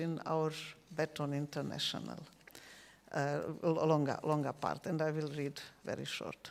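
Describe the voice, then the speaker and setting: This woman speaks with a South Slavic accent. Her pace is fairly slow. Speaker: novelist. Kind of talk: interview on stage. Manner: halting.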